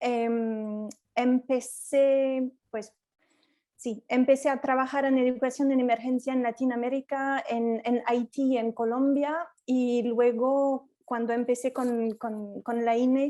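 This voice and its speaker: A woman's high-pitched voice with a dark, mellow tone and a French accent, very slow and monotone, with flat intonation. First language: French (speaking Spanish). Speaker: education in emergencies specialist, facilitator. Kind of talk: self-introduction in online workshop. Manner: halting, repeats words.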